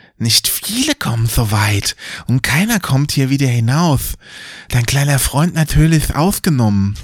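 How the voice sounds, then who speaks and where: A man's put-on character voice, hissing and menacing, fairly slow, with very wide pitch swings. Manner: hissing, menacing.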